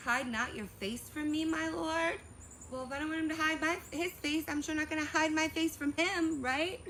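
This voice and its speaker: A woman with a high pitch speaks at a moderate pace in a raised, projected voice, her tone bright, sharp and animated. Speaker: vlogger. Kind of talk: personal storytelling vlog. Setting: outdoors.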